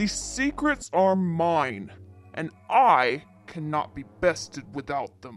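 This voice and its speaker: A man puts on a character voice, speaking very slowly at a fairly high pitch. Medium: audio drama. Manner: menacing, grandiose.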